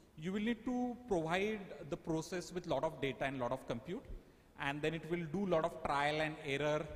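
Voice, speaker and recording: A plain, everyday voice, with lively intonation at a fairly quick pace. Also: man. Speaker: AI workshop speaker. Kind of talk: lecture.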